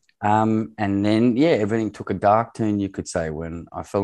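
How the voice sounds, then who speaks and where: A man's dark, mellow tone with fairly even intonation, over a quiet background. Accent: Australian. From Australia. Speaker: former farm manager in Zimbabwe. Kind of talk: interview conversation.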